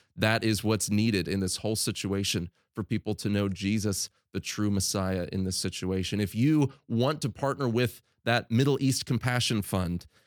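A man's plain, everyday voice at a fairly low pitch, with ordinary pitch variation and a moderate pace, in a very clean recording with a silent background and a dry, close sound with no echo. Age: 30s. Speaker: podcast host, mission agency communications director. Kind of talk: podcast intro and outro; interview.

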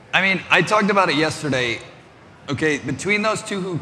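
A man's lively intonation against noticeable background noise. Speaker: event organizer. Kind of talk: stage introduction. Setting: stage with audience. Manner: excitable.

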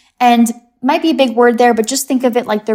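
A woman with an American accent and a fairly high pitch comes through in a very clean recording with a silent background. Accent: American, with a few British pronunciations. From England, raised mostly in US. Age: 20s. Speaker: mushroom supplement specialist. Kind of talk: interview.

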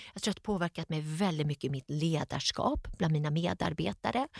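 A woman's very deep, low voice, animated in tone, dry and close with no echo, on a very clean recording with a silent background. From Sweden, Gothenburg. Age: 50s. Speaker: entrepreneur. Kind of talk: interview.

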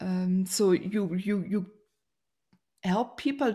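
A woman with a German accent speaks at a very slow pace in a dark, mellow tone. Her intonation stays fairly even. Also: very clean recording, silent background. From Germany. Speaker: podcast host. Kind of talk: interview. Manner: warm, effusive.

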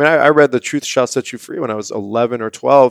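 With a normal speaking voice and an American accent, this speaker uses fairly even intonation in a very clean recording with a silent background and a dry, close sound with no echo. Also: man. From US West Coast, San Diego. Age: 30s. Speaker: health product founder. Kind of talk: casual chat.

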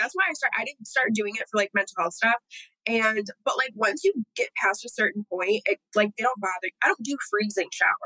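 An ordinary speaking voice from a woman with an American accent, fairly high in pitch with ordinary pitch variation, at a fairly quick pace, in a dry, close sound with no echo. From Southeast Michigan. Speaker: model and actress. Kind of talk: casual chat.

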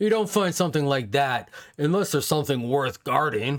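A gruff man talks at a fairly quick pace and a fairly high pitch. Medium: actual play. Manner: boastful, gruff, angry.

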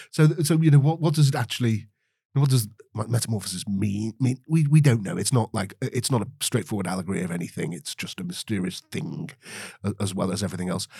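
A very fast, somewhat breathy male voice, dark and mellow in tone, at medium pitch with very wide pitch swings. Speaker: podcast co-host. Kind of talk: casual book discussion; scripted segment intro. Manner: halting, many repetitions.

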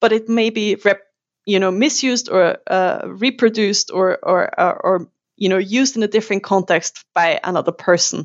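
This woman speaks with a German accent at a medium pitch. Her pace is fairly slow, with ordinary pitch variation. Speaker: university lecturer. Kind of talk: interview.

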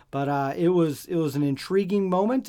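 Here a man has a normal speaking voice at a moderate pace. The recording is very clean, with a silent background. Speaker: podcast host. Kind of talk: casual chat.

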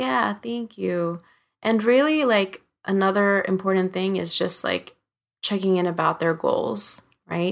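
On a very clean recording with a silent background, a woman with an American accent talks at a fairly slow pace in a medium pitch, with lively intonation and an ordinary speaking voice. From US, Filipino family from Cebu. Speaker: singer-songwriter and music teacher. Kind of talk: interview conversation.

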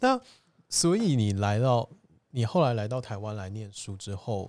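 On a very clean recording with a silent background, a normal speaking voice moves at a moderate pace. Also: man. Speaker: podcast host. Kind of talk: interview-style casual chat. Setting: borrowed venue, indoor recording.

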